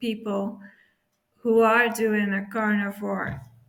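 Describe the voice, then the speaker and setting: Room echo can be heard in this clip. The voice is a woman's. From Belgium. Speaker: YouTuber. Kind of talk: casual vlog talk. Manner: halting, many fillers.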